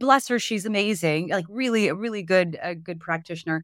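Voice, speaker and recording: A woman's animated voice at a fairly quick pace, with ordinary pitch variation, in a dry, close sound with no echo and a very clean recording against a silent background. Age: 40s. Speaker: personal trainer and holistic health coach. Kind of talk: interview conversation.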